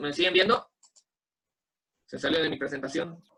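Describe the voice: His pitch fairly high, a man speaks at a moderate pace with fairly even intonation, a bright, sharp tone and a slightly husky edge.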